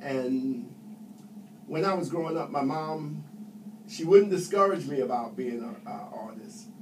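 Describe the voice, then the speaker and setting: With an American accent, a man speaks at a fairly high pitch with very wide pitch swings, big swings in loudness and long, frequent pauses, amid audible room echo and noticeable background noise. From New York City. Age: 70s. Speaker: Air Force veteran. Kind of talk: interview.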